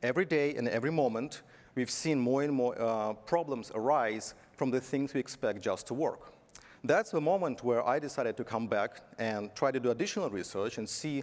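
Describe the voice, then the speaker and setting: Speaking fairly quickly with a Belarusian accent, a man uses a medium pitch and lively intonation. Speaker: tech conference speaker, software company executive. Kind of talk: conference talk. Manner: halting, with fillers.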